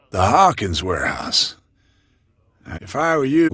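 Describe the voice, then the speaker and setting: A man uses a put-on character voice, fairly high in pitch. He speaks at a fairly slow pace with very wide pitch swings. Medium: video game. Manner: gruff, curt.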